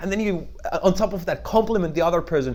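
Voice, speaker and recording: At a fairly quick pace, a man talks in a high voice with ordinary pitch variation. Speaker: network marketing trainer. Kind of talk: tutorial. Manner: fast.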